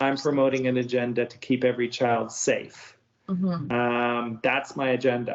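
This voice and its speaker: This man has a plain, everyday voice with a medium pitch. He talks at a moderate speed, his intonation fairly level. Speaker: educator and advocate. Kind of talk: interview answer.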